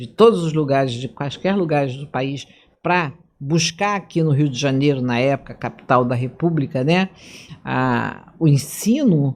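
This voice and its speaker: This woman's voice is very deep and low, moving at a fairly slow pace with ordinary pitch variation. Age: 70s. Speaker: physician and video podcast host. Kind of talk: interview.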